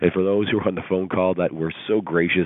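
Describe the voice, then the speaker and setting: Talking at a very fast pace, a man has a very deep, low voice. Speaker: motivational speaker. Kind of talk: motivational talk. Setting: phone call.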